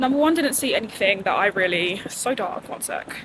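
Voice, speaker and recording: A woman talks at a moderate speed while noticeable background noise carries on. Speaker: vlogger. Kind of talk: casual vlog talk. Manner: whispering.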